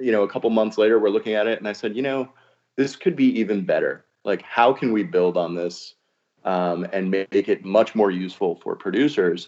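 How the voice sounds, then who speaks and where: Using a normal speaking voice, a man talks at a medium pitch with an American accent. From New Jersey, Hudson County. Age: 40s. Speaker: audiobook publishing executive. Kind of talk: casual chat.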